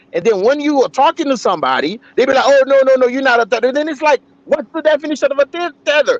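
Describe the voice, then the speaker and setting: This man has an extremely high pitch, ordinary pitch variation and an animated tone, recorded dry and close with no echo. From Haiti. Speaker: livestream commentator. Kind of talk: heated debate. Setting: live stream.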